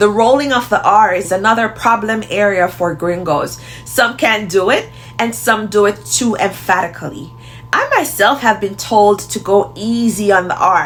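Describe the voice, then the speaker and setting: With music in the background, a woman in a Jamaican accent talks at a moderate pace and a medium pitch with ordinary pitch variation. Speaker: language teacher. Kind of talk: tutorial.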